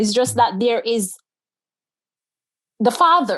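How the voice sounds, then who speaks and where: At a very slow pace, a woman speaks with lively intonation and a fairly high pitch. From Jamaica. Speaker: transformation coach, author. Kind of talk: interview answer.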